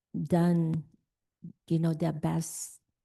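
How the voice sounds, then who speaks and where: This woman's pitch sits fairly low, with a dark, mellow tone. The background is quiet. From immigrant to the US. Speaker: school board member. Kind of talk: board meeting remarks. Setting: public board meeting.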